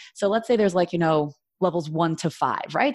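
A woman's medium-pitched, unremarkable speaking voice in an American accent, fairly quick and lively in intonation, over a quiet background. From New York, Brooklyn (Flatbush). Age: 30s. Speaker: marketing expert. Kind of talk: interview.

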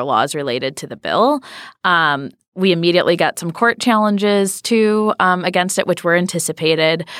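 A woman with a Midwestern American accent talks at a fairly quick pace and a fairly low pitch with ordinary pitch variation, in a very clean recording with a silent background. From Michigan. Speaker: grassroots activist. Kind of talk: interview.

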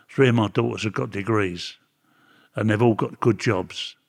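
A man with a Cockney accent speaks at a fairly low pitch with vocal fry in a very clean recording with a silent background. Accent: London Cockney. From London, England. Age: 80s+. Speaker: former prisoner. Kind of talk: interview.

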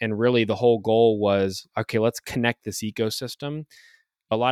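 On a very clean recording with a silent background and a dry, close sound with no echo, a man with an ordinary speaking voice and medium pitch talks at a moderate pace with fairly even intonation. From Ohio, US Midwest (Youngstown). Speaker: medtech consulting founder and podcast host. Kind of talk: casual interview.

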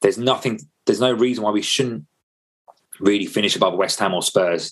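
A man speaks with a London accent. His pace is very fast. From England, North London. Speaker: football fan pundit. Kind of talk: casual chat.

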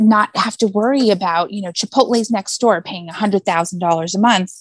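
The voice is somewhat breathy, with ordinary pitch variation and a dry, close sound with no echo. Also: woman. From US West Coast (San Diego area). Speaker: glass mosaic artist and designer. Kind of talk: casual chat.

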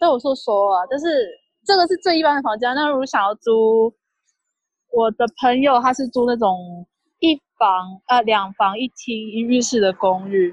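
A woman with a high pitch and lively intonation, moderate in pace, dry and close with no echo over a quiet background. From Taiwan. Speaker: graduate student. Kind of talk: casual chat.

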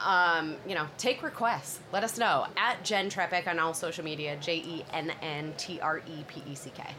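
A woman talks at a moderate pace in a fairly low voice with a bright, sharp tone. Her pitch varies in an ordinary way while her loudness swings widely. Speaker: podcast host. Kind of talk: casual chat. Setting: live at a conference.

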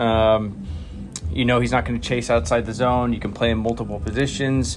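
A man's moderately paced, fairly low-pitched voice over music in the background. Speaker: baseball manager. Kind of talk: post-game interview.

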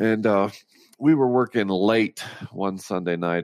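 A man with an American accent talks at a fairly slow pace with ordinary pitch variation. The recording is very clean, with a silent background and a dry, close sound with no echo. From rural Utah (Roosevelt). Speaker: author and motivational speaker. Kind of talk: interview, personal story.

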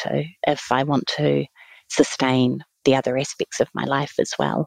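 The woman's voice is very deep and low, at a moderate pace. The sound is dry and close, with no echo. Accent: New Zealand. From New Zealand, Taranaki (near New Plymouth). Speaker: museum chief executive. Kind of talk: interview.

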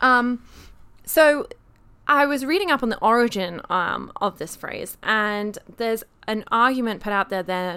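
Over a silent background in a very clean recording, a woman with a British accent speaks at a moderate pace, her tone bright and sharp and her intonation lively. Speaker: podcast co-host. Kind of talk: casual chat.

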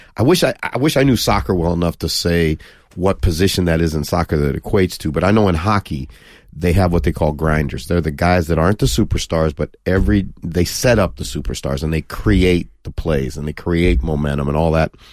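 A man with a very deep, low voice, vocal fry, lively intonation and a fairly quick pace. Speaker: football coach and TV pundit. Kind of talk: casual interview chat. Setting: studio.

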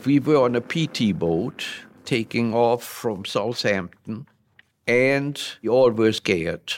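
In a very clean recording with a silent background, a man with a German accent speaks at a very slow pace at a medium pitch with ordinary pitch variation. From Germany (Hildesheim). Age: 90s. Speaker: WWII veteran. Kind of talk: interview.

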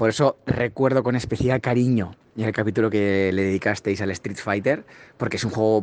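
An unremarkable speaking voice from a man, fairly low in pitch with fairly even intonation and a moderate pace. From Spain. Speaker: fellow podcaster. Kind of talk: recorded congratulatory audio message.

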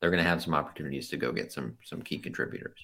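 In a very clean recording with a silent background, a man talks very fast with lively intonation, a bright, sharp tone and vocal fry. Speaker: sports podcast co-host. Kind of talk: casual chat.

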